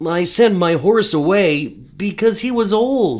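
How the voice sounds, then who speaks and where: At a fairly slow pace, someone delivers a put-on character voice pitched in the middle range. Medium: read story.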